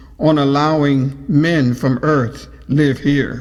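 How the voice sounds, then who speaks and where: A man uses a put-on character voice with a fairly high pitch. His tone is calm and his pace fairly slow. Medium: audio drama. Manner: calm, polite.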